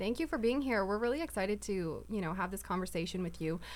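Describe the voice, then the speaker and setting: Vocal fry runs through this woman's voice, in a Canadian accent. She talks at a very fast pace with ordinary pitch variation. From Winnipeg, Canada. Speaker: podcast co-host. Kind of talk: casual interview.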